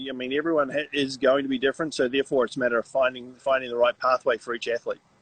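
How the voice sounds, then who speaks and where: Speaking very fast with a New Zealand accent, a man has a fairly high, bright, sharp tone, ordinary pitch variation, and a dry, close sound with no echo. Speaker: triathlon coach. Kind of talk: casual interview chat. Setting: Instagram live stream. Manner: hesitant, repeats words.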